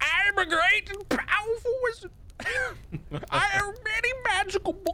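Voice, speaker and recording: An extremely high, gruff put-on character voice moves at a moderate pace with long, frequent pauses. Clear background noise sits behind it. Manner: cranky, gruff.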